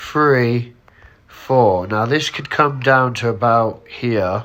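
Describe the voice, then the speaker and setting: Noticeable background noise sits under a man speaking at a very slow pace. His medium pitch shows ordinary variation. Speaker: trading analyst. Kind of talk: tutorial. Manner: casual.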